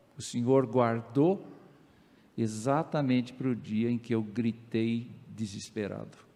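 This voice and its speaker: A man's voice, dark and mellow in tone, medium in pitch, at a very slow pace. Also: ordinary pitch variation. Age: 70s. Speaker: pastor. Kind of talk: sermon. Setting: church.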